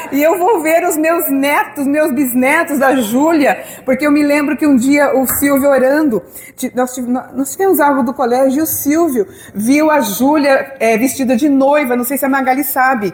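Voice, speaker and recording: A woman speaks at a moderate pace and a high pitch with ordinary pitch variation. Noticeable background noise is present. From southern Brazil. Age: 60s. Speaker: pastor. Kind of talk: sermon.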